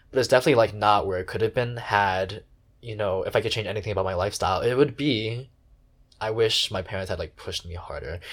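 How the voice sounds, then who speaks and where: Talking at a very fast pace, a man with a fairly low, somewhat breathy voice uses ordinary pitch variation in a very clean recording with a silent background. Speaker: podcast host. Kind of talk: casual chat.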